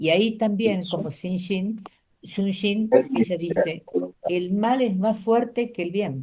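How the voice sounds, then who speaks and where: Her voice is medium in pitch, dark and mellow, and somewhat breathy. The woman talks at a very slow pace with ordinary pitch variation. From Argentina, Tucumán. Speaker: doctor, panel speaker. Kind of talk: panel talk. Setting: lecture hall with audience and Zoom.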